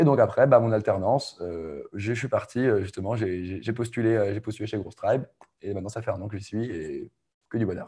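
Somewhat breathy and dark, mellow in tone, a man speaks at a fairly quick pace with a fairly low pitch. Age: 20s. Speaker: growth marketing coach. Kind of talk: casual interview.

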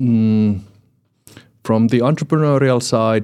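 With a Finnish accent, a man speaks in a medium pitch and a dark, mellow tone. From Finland. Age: 40s. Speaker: entrepreneurship lecturer and coach. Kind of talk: podcast interview. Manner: halting.

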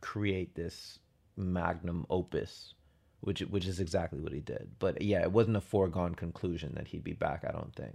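On a very clean recording with a silent background, a man with an American accent speaks in a very deep, low pitch with vocal fry and ordinary pitch variation. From US suburbs. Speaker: podcast co-host. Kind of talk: casual chat.

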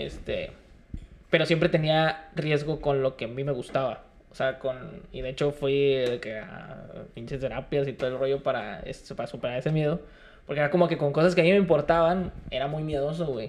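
In a plain, everyday voice, a man with a fairly high pitch talks at a moderate pace with ordinary pitch variation. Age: 20s. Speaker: rapper and freestyler. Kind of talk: casual interview chat. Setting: studio.

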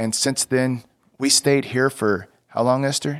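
There is a man with an American accent talking in a monotone, flat intonation on a very clean recording with a silent background. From Texas. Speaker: former missionary. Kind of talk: interview testimony.

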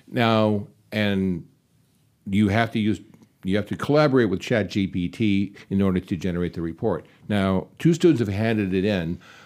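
In a very clean recording with a silent background, a man talks at a moderate pace with a fairly low pitch, ordinary pitch variation, and a plain, everyday voice. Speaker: podcast moderator and lecturer. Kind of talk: panel discussion. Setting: studio.

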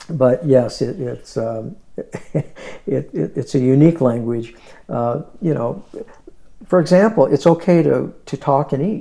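At a very slow pace, a man speaks with lively intonation and a fairly high pitch. His dark, mellow tone is somewhat breathy. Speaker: podcast host. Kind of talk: interview. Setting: in the guest's home.

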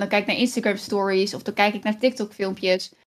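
A woman speaks at a fairly high pitch in a flat monotone. The recording is very clean, with a silent background. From Netherlands, Kampen. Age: 30s. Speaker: streamer. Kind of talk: interview conversation. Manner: halting.

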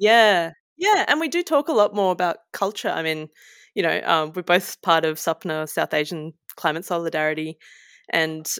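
A woman with an Australian accent speaks at a moderate pace in a fairly low voice with ordinary pitch variation, recorded very clean against a silent background, with a dry, close sound and no echo. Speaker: illustrator and environmental campaigner. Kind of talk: casual interview.

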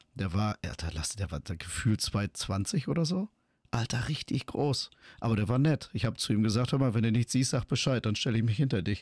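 Somewhat breathy male speech at medium pitch, fairly quick, with lively intonation, dry, close sound with no echo and a very clean recording with a silent background. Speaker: podcast co-host. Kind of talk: casual chat.

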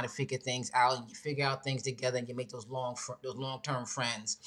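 A woman's extremely low-pitched voice with a fairly bright tone.

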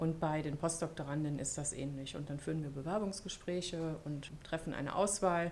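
A woman speaks at a very deep, low pitch with fairly even intonation and hardly any pauses. Audible room echo and noticeable background noise surround her. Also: moderate pace. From Germany. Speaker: university equality officer. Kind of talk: podcast interview.

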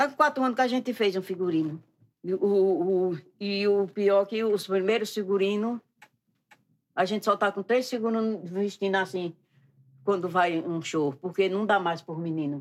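A woman's ordinary speaking voice, with ordinary pitch variation, at a moderate pace. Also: medium pitch for a woman. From Pernambuco countryside, Brazil. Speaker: costume maker and folk singer. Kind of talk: casual interview.

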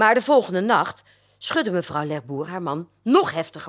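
This clip is someone reading aloud in a natural voice.

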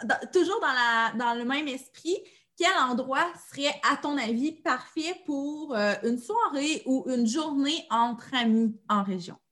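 Speaking at a very slow pace, a woman uses a high pitch. Her intonation is lively. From Abitibi-Témiscamingue, Quebec. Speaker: podcast host. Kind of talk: casual interview.

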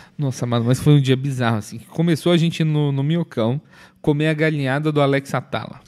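At a fairly quick pace, an ordinary speaking voice keeps fairly even intonation in a very clean recording against a silent background. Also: man, fairly high pitch for a man. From Minas Gerais, Brazil (Viçosa). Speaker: comedian and podcast co-host. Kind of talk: casual chat.

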